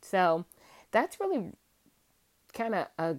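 Speaking very slowly with a slight Southern US accent, a woman holds a medium pitch in a very clean recording with a silent background. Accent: Southern US, slight twang. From Virginia, US South. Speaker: podcast host, homemaker and mom. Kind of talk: casual solo monologue.

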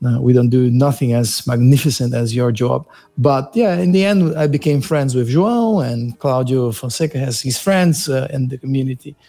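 A man's somewhat breathy, dark, mellow voice at medium pitch, with ordinary pitch variation, a moderate pace and hardly any pauses. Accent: Portuguese. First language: Portuguese. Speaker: podcast host. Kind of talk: casual interview chat.

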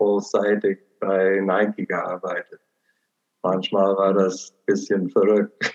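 Dry and close with no echo, a man with an American accent and a fairly low pitch speaks at a very slow pace. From Portland, Oregon, USA. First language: English (speaking German). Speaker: missionary. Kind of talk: personal testimony.

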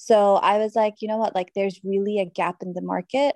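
A woman speaks at medium pitch in an American accent, her tone dark and mellow. The sound is dry and close with no echo, over a quiet background. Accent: international, between British and American. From Dubai. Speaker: guest speaking on colourism. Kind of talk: casual interview chat. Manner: hesitant, many fillers.

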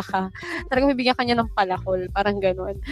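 A woman at a medium pitch, with ordinary pitch variation, talks over noticeable background noise. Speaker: podcast co-host. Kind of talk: casual chat.

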